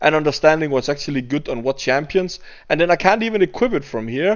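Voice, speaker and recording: A man speaks in a fairly high voice with a Danish accent. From Denmark. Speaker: gaming YouTuber. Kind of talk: gameplay commentary rant. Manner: halting, with repeated words.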